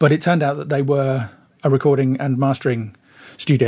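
With a British accent, a man speaks in a dark, mellow, medium-pitched voice and a monotone, flat intonation. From United Kingdom. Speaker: mastering engineer. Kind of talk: interview conversation. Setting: remote call.

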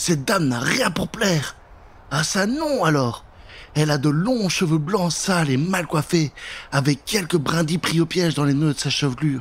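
At a moderate pace, a man speaks with lively intonation at a fairly high pitch.

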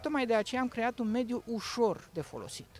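Recorded dry with no echo, a man speaks at a fairly slow pace. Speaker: digital agriculture product specialist. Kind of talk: promotional interview. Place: farm machine. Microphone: handheld.

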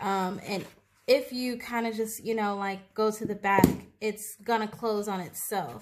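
A woman talks at a fairly slow pace with a fairly high pitch. Loud background noise is present. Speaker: planner YouTuber. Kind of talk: tutorial. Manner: casual, filler-heavy. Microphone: phone near.

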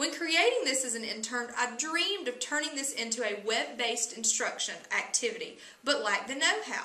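A woman speaks in a raised, projected voice with a high pitch and an American accent, at a fairly quick pace with hardly any pauses. Her intonation is lively, and there is audible room echo plus noticeable background noise. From US South, Alabama. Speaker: teacher. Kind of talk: scripted narration.

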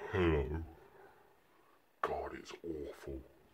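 A man puts on a character voice that is very deep, low, raspy and gravelly. Light background noise can be heard. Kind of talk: comedic character monologue. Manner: pretend, comically awful.

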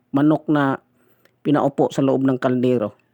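The speech comes at a fairly slow pace in a dry, close sound with no echo. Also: man. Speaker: food vlogger. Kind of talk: mukbang voice-over. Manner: halting.

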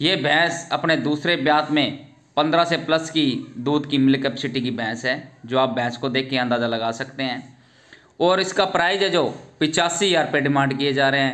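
In a quiet background, a man's bright, sharp tone comes through with ordinary pitch variation. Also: moderate pace. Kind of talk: sales commentary. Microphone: phone near.

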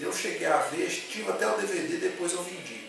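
A man at a moderate pace, with strong room echo and clear music in the background. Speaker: film reviewer. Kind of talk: casual film review. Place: home room. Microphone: camera far.

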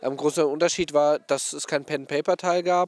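Speaking at a moderate pace, a man keeps his intonation fairly even. The sound is dry, with no echo. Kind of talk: interview answer. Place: open country. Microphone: handheld.

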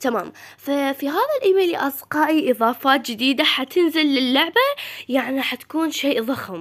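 Speech at a moderate pace is heard with noticeable background noise behind it. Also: woman. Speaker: gaming YouTuber. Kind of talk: casual game news commentary. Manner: halting, frequent self-corrections.

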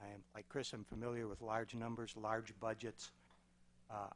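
A man's monotone, flat delivery with an American accent. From Wisconsin (Germantown); Wisconsin. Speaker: city council candidate, veteran, retired insurance executive; council candidate. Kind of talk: candidate forum speech. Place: meeting room. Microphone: podium.

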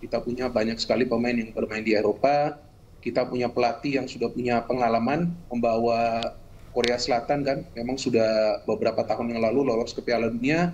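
Speaking at a fairly quick pace, the man keeps his intonation fairly even. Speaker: football pundit. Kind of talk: news interview. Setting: video call. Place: home room. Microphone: video call.

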